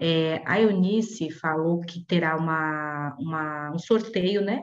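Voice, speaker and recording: A woman's fairly low voice with a dark, mellow tone against a quiet background. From Brazil, São Paulo. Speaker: company representative; webinar host or moderator. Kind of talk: casual announcement. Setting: video call. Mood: warm, appreciative. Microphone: earbuds.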